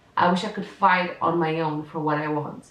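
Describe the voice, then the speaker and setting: Over noticeable background noise, a woman with a Portuguese accent talks at a moderate pace with a fairly low pitch. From Portugal. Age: 20s. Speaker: content creator, university student. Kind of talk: reading aloud personal diary entries.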